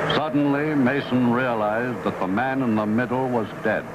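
A man speaks with a medium pitch and fairly even intonation at a moderate pace. His loudness stays very even, and background noise is noticeable. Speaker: narrator. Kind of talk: TV drama narration. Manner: dry, methodical.

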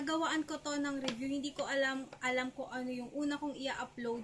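There is light background noise. Over it, a woman speaks in a high-pitched voice. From Philippines. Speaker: beauty vlogger. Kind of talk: haul video. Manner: casual, conversational. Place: home room. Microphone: webcam.

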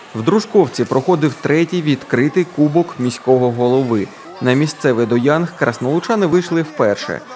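With noticeable background noise behind him, a man talks at a moderate pace in a fairly high pitch with lively intonation. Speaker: TV news reporter. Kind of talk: news report narration.

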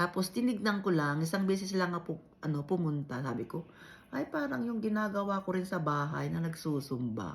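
The voice is somewhat breathy, with an Ilocano accent. It moves at a fairly quick pace through very wide pitch swings. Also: woman, fairly low pitch for a woman. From Ilocos region, Philippines. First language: Ilocano (speaking Tagalog). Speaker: vlogger. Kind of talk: casual vlog chat.

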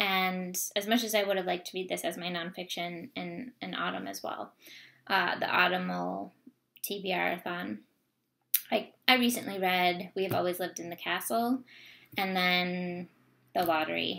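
A woman with an American accent speaks at a moderate pace, her pitch fairly low and its variation ordinary. Her tone is bright and sharp, broken by long, frequent pauses. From US, Vermont. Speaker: book vlogger. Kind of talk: casual vlog monologue. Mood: warm, enthusiastic. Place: home room. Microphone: webcam.

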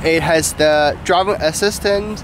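Noticeable background noise accompanies this very slow delivery, heard as a dry sound with no echo. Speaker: product user demonstrating. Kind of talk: casual interview answer. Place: street. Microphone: camera far.

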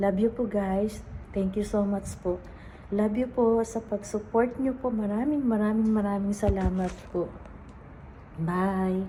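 At a fairly slow pace, a woman speaks with fairly even intonation and very even loudness. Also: medium pitch for a woman. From Philippines. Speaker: overseas caregiver vlogger. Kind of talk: personal testimony vlog. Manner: halting.

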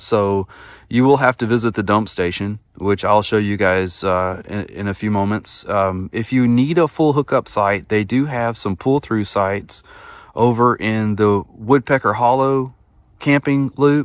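The speech, in an East Texas accent, moves at a fairly slow pace with ordinary pitch variation. The sound is dry with no echo, over a quiet background. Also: man, fairly low pitch for a man. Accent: East Texas Southern American. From northeast Texas (Atlanta, Texas). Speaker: camping YouTuber. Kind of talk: casual vlog narration. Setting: outdoors at a campsite. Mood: playful, joking. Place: forest. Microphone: phone near.

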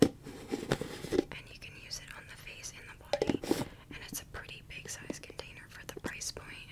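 A woman whispers at a fairly slow pace. Her loudness swings widely. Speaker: ASMR content creator. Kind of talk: ASMR whispered trigger video, casual talk to camera. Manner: soft-spoken, whispering. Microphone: studio mic.

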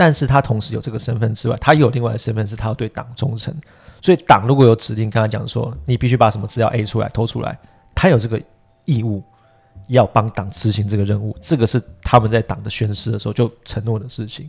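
A man's medium-pitched voice at a very fast pace, with ordinary pitch variation. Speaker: political podcast co-host, editor-in-chief. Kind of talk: casual political chat. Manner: energetic, full-voiced today.

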